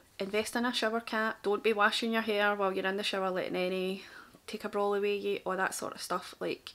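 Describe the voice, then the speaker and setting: In a strong Glaswegian accent, a woman at medium pitch speaks very fast with monotone, flat intonation. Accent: thick Glaswegian. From Scotland, Glasgow. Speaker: makeup artist. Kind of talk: tutorial and story time. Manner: casual, chatty.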